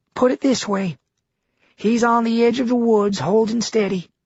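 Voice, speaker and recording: This put-on character voice has a fairly high pitch and moves at a moderate pace. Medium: read story. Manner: plain-spoken, folksy.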